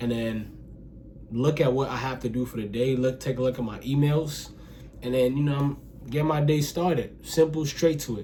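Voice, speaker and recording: A man speaks at a moderate pace with a medium pitch. His intonation stays fairly even, and the room echo is audible. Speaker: self-improvement vlogger. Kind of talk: casual talk to camera. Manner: halting, self-admitted stuttering; casual, filler-heavy.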